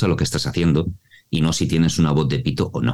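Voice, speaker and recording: A man speaks at a very deep, low pitch. Vocal fry runs through his voice. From Mallorca, Spain. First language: Mallorquin Catalan (bilingual) (speaking Spanish). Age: 40s. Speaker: voice actor and voice coach. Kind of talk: interview.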